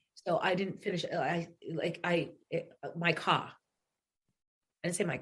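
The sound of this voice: A put-on, raspy character voice in a strong New England accent, middle-pitched and monotone, at a fairly slow pace with long, frequent pauses. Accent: thick New England.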